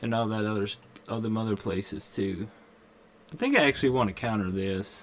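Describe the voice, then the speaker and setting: A man with a Kentucky accent and a fairly low pitch, at a fairly quick pace with fairly even intonation and long, frequent pauses. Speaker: gaming streamer. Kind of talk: live game stream commentary. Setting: live stream. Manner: casual.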